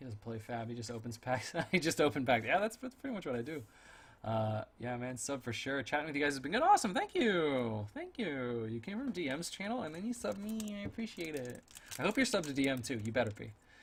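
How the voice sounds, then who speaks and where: Noticeable background noise runs throughout. The talking is fairly quick. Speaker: streamer opening card packs. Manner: sounds sarcastic even when sincere; talkative, rambling.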